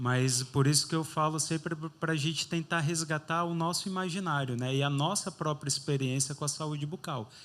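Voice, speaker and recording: An ordinary speaking voice, a man at a fairly high pitch with fairly even intonation and a moderate pace. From Brazil, interior of Bahia. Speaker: dentist running a charity. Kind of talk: interview on stage.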